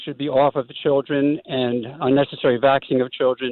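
A man talking at a moderate pace. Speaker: caller. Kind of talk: call-in comment. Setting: phone call.

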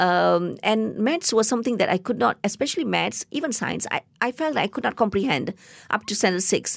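In a Tamil accent, a woman talks at a moderate pace with lively intonation and vocal fry, her pitch fairly high. The sound is dry and close with no echo, and the recording is very clean over a silent background. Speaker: biotechnologist and science communicator. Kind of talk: interview. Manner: halting.

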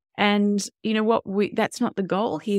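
In a dry, close recording with no echo and a very clean, silent background, a woman speaks with an Australian accent. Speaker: parenting educator and former doula. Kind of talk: interview.

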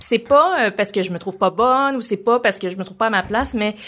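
A woman's fairly high voice with a Quebec accent, ordinary pitch variation and a fairly quick pace. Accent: Québécois French. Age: 40s. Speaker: comedian. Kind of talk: casual chat. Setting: studio.

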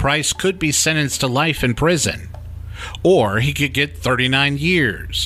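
Lively intonation marks this man's unremarkable speaking voice, pitched fairly high. He talks at a fairly slow pace with very even loudness. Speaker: crime reporter podcast host. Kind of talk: true-crime narration. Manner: measured, serious; steady, storytelling delivery.

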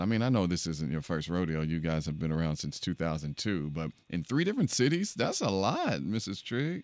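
Against a quiet background, a man with a very deep, low voice talks at a moderate pace with lively intonation and hardly any pauses. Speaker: radio podcast host. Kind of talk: casual chat and interview. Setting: studio.

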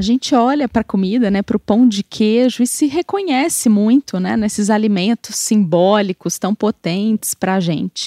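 A dark, mellow tone with a Brazilian accent, hardly any pauses, and a dry, close sound with no echo. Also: woman, fairly high pitch for a woman, ordinary pitch variation, moderate pace. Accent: non-mineiro Brazilian Portuguese. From Brazil, outside Minas Gerais. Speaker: food historian. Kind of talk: interview.

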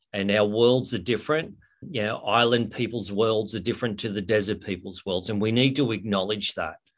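Speaking at a fairly quick pace, a man with an Australian accent uses a fairly low pitch and ordinary pitch variation. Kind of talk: interview. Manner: halting.

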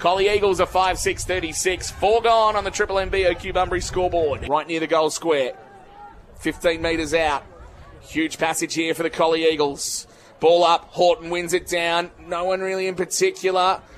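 Noticeable noise sits behind a high-pitched man who keeps a moderate tempo and fairly even intonation. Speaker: football commentator. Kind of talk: live sports commentary. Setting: radio broadcast of a live match.

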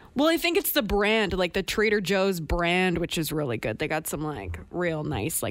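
With a Canadian accent, a woman speaks at a moderate pace and leaves hardly any pauses. Her fairly low voice has vocal fry. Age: young. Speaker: radio host. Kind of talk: casual chat.

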